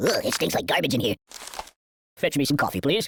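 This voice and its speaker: Put-on character voice at a low-to-middle pitch, delivered at a fairly quick pace. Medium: video game. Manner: whiny, comic.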